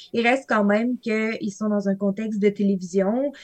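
A woman with a normal speaking voice, medium pitch, fairly even intonation and a moderate pace. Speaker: linguistics graduate student. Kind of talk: podcast interview. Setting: studio.

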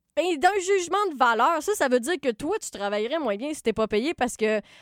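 A woman at a moderate pace with lively intonation, dry and close with no echo. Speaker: podcast host and writer. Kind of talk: casual chat.

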